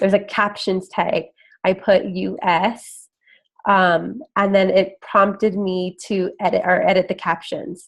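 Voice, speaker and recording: Over a quiet background, a woman with a medium-pitched voice speaks at a fairly slow pace and with fairly even intonation. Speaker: health and fitness coach. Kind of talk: screen-share tutorial. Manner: casual, filler-heavy with 'like' and 'um'.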